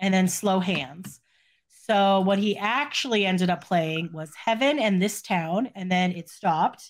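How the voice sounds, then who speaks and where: On a very clean recording with a silent background, a woman speaks fairly slowly at a medium pitch with ordinary pitch variation. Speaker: podcast co-host discussing pop music news. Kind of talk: casual chat. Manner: quiet; halting.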